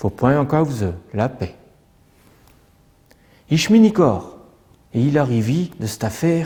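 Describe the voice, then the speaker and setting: A man speaks in a somewhat breathy, fairly high voice that swings very widely in pitch. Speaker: storyteller. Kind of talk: traditional folk tale telling.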